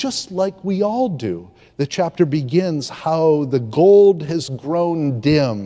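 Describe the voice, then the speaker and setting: Very slowly, a man with a fairly high pitch and a dark, mellow tone speaks with very wide pitch swings. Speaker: preacher. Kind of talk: sermon delivered to a congregation. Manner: reflective, conversational, with pauses and filler words.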